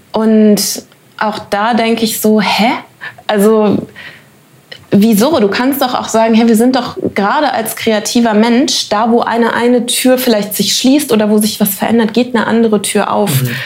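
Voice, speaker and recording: Against noticeable background noise, a woman with a fairly high pitch speaks with fairly even intonation and very even loudness. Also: moderate pace. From Germany. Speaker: actress. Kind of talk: interview. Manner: hesitant, many fillers.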